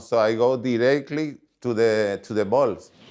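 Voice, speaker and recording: A man with a Paraguayan accent at a fairly slow pace, ordinary pitch variation, and a quiet background. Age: 60s. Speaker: former tennis player. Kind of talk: documentary interview. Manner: halting, non-native phrasing.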